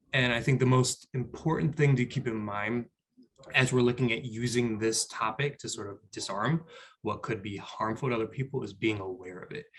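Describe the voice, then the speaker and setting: A man speaks in an American accent at a medium pitch, his pitch varying in an ordinary way. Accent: New York Bronx accent, varies in strength. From New York, the Bronx. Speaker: business school staff member, panelist. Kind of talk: panel discussion. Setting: video call. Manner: loud; halting, repeats words.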